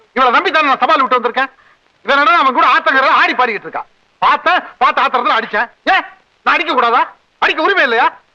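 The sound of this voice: A man uses a put-on character voice with an extremely high pitch and a bright, sharp tone. He talks at a fast pace with ordinary pitch variation. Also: few pauses.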